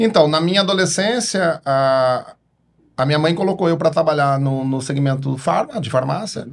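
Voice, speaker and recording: A man with a Paraná accent, a fairly high pitch, ordinary pitch variation and a moderate pace. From Paraná, Brazil (interior, Cambará). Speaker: pharmacist and distribution company founder. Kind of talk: podcast interview.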